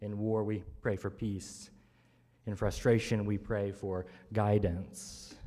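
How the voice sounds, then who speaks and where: Fairly low in pitch, a man speaks at a very slow pace with fairly even intonation. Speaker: preacher. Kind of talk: sermon. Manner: rhythmic, measured preaching with repeated triplets and a drumbeat cadence; warm, conversational asides with laughter. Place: church. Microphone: podium.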